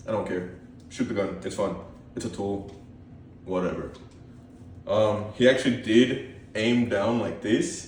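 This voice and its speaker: A man speaks shakily at a fairly slow pace and a fairly low pitch, with ordinary pitch variation. His long, frequent pauses carry audible room echo. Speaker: gun collection YouTuber. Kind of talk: casual show-and-tell. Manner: hesitant, many ums; shaky voice.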